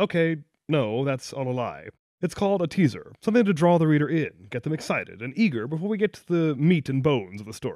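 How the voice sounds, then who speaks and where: Fairly high in pitch, a man speaks at a very fast pace with lively intonation and big swings in loudness. The recording is very clean with a silent background. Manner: playful, teasing, wry.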